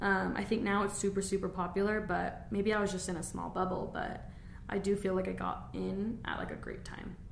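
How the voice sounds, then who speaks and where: With an American accent, a woman speaks at a fairly quick pace amid noticeable background noise and audible room echo. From Arizona (Gilbert). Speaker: esthetician and podcast co-host. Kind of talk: casual chat. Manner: animated.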